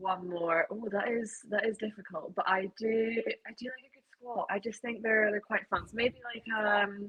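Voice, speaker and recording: In a Scottish accent, a woman talks at a moderate pace and fairly high pitch with fairly even intonation, hardly any pauses and big swings in loudness. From Scotland. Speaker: triathlete. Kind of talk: podcast interview. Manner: casual, with many fillers.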